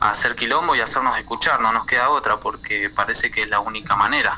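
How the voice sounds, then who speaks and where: The speaker is a man. Background noise is clearly noticeable throughout. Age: 20s. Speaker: community kitchen organizer. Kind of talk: radio interview. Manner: halting.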